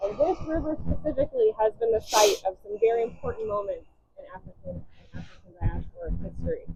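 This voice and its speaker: A woman with an American accent talks at a very fast pace, and her loudness swings widely. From California. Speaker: museum curator and tour guide. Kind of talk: guided walking tour. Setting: outdoors by a river. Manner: trying to speak louder.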